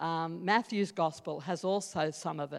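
A woman in an Australian accent at a moderate pace, on a very clean recording with a silent background. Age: 60s. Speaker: Salvation Army officer. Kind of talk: sermon. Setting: church.

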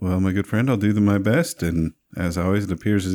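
A man speaks in a normal speaking voice with a fairly low pitch and ordinary pitch variation. The recording is very clean with a silent background and has a dry, close sound with no echo. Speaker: tabletop role-play player. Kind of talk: tabletop role-play session.

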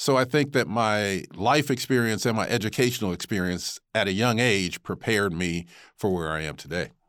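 Here is an unremarkable speaking voice: a man with an American accent, fairly low pitch, and lively intonation at a moderate pace. The recording is very clean, with a silent background. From Rochester, New York. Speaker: TV news anchor. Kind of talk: interview.

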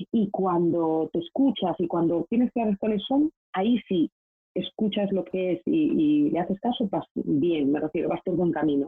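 A woman uses a normal speaking voice at a medium pitch and a moderate pace. Her intonation is lively and her loudness very even. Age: 30s. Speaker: professional organizer. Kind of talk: interview conversation. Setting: video call.

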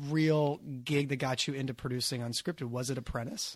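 It is an ordinary speaking voice. The recording is very clean, with a silent background. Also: man. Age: 30s. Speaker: podcast host. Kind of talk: interview.

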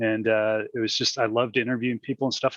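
A man with an American accent talks at a very fast pace. His pitch is medium, and the sound is dry and close with no echo. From US Midwest, Peoria, Illinois. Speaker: podcast co-host, roller coaster enthusiast. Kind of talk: casual chat. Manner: halting, with many fillers.

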